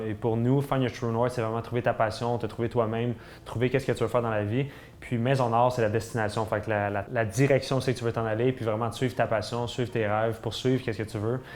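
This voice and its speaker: Using monotone, flat intonation, a man with a Quebec accent speaks at a fairly quick pace and medium pitch. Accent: Québécois French. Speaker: fitness YouTuber. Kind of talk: vlog monologue. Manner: fast; halting.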